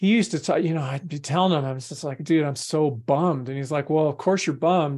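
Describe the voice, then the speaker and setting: Against a quiet background, a man talks in an ordinary speaking voice, fairly high in pitch, with ordinary pitch variation. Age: 50s. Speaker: endurance athlete and coach. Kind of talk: interview.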